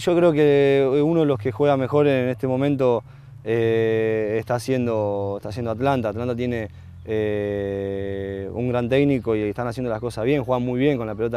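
A man speaks at a moderate pace with a medium pitch and a dark, mellow tone. His intonation is fairly even, and the sound is dry with no echo. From Argentina, Rosario; Argentina. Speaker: professional footballer. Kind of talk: interview. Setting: football stadium. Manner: halting, many fillers and repetitions. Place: stadium. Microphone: lapel.

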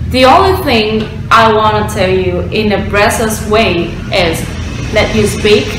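A woman speaks with a Vietnamese accent. Noticeable background noise and audible room echo surround her voice. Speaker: former student of an English course. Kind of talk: course testimonial. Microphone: webcam.

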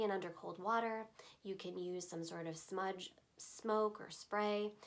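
A woman talks with a calm tone at a medium pitch. Her pitch variation is ordinary. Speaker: voiceover artist, crystal teacher. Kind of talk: instructional explanation to camera. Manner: calm, conversational. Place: shop.

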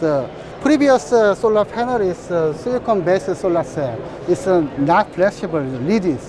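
A man with a Korean accent, high pitch and very wide pitch swings, amid noticeable background noise. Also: moderate pace. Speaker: company representative at trade show. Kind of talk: trade show interview. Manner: halting. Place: hall. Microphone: lapel.

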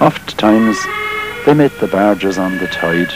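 A man talks fairly slowly with music in the background. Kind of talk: poetry reading.

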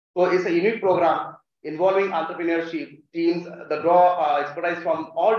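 Audible room echo surrounds a man with an Indian accent who speaks in a high pitch at a moderate pace. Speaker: college faculty, event host. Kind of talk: formal welcome speech. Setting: stage with audience. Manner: formal. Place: hall. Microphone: podium.

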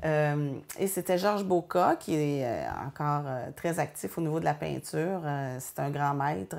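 Very deep and low for a woman, her voice shows ordinary pitch variation. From Quebec, Joliette region; Quebec. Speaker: painter. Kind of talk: interview. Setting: art studio. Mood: warm, reflective. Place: workshop.

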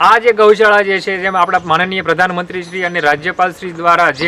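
A man with a high-pitched voice speaks in a fairly even tone over noticeable background noise. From Gujarat, Botad district. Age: young. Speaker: dairy farmer. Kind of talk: interview testimony.

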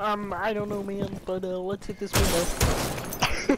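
A put-on, female-sounding character voice in a monotone, flat delivery at a very slow pace, with sound effects and loud noise in the background. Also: medium pitch for a woman.

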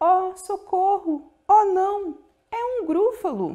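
Using a put-on character voice, a woman speaks at a very slow pace in an extremely high pitch. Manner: panicked, terrified.

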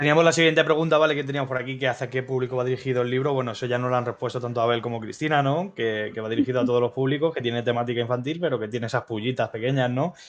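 Talking at a very fast pace with hardly any pauses, a man of medium pitch keeps his intonation fairly even. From Madrid, Spain; Spain. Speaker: crypto streaming show co-host. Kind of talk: news reading; casual live stream chat. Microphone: video call.

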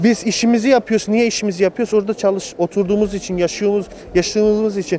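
A fairly quick, dry delivery with no echo over light background noise. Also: man. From Germany (Munich), Turkish family; Germany. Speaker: returned emigrant, electrician; interviewee. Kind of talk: street interview. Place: street. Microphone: handheld.

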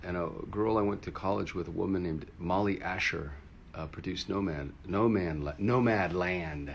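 The intonation is lively and the pace moderate. Light background noise sits behind the voice. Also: man. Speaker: livestream host. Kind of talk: casual livestream chat. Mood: upbeat, friendly. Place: home room. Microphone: phone near.

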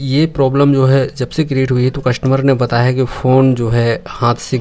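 A man talks at a moderate pace. His intonation stays monotone and flat. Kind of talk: tutorial. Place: workshop.

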